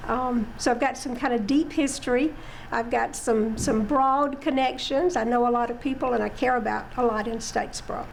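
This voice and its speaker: A woman's high-pitched voice, fairly quick and fairly even in intonation, with audible room echo and noticeable background noise. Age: 70s. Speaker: city council member. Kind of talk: interview.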